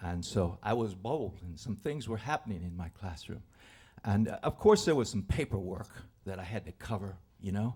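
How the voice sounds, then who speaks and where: A man speaks with a dark, mellow tone at a fairly low pitch, slightly breathy. His pitch moves in an ordinary way. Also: moderate pace. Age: 70s. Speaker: storyteller. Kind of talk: live storytelling. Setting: stage with audience. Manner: halting.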